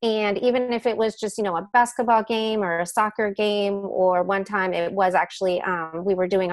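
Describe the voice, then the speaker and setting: Music plays behind a woman speaking at a moderate pace. Her pitch is medium and her intonation fairly even. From United States. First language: Spanish. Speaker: educational technologist and Spanish teacher. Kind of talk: webinar presentation. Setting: online webinar. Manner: many fillers, halting.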